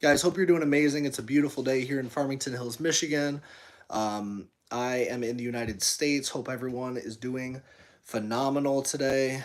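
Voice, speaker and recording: This man talks at a fairly quick pace with an American accent. His pitch sits in the medium range. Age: 30s. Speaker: fitness streamer and gym owner. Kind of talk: live stream chat reading. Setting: live stream. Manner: fast; animated.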